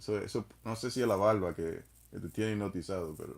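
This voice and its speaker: The voice has a Spanish accent and ordinary pitch variation. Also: man. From Dominican Republic. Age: 30s. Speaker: live streamer. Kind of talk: casual chat.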